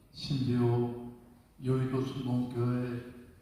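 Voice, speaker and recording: A man's voice carries an audible room echo. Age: 80s+. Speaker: senior pastor. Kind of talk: congratulatory speech at church assembly. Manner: animated.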